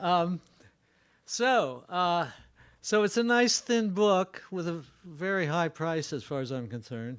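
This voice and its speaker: Very clean and silent in the background, this recording has a man speaking at a high pitch with very wide pitch swings. His pace is fairly slow, with long, frequent pauses. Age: 80s+. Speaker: education researcher and author. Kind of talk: lecture. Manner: halting.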